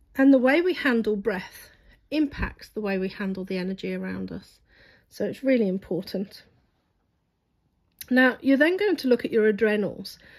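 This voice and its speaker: A woman speaks at a fairly high pitch and a moderate pace with lively intonation, leaving long, frequent pauses. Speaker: reflexologist. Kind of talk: tutorial.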